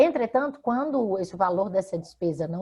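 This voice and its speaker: A somewhat breathy woman talks at a moderate pace. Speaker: law professor, radio guest. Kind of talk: interview answer explaining consumer law.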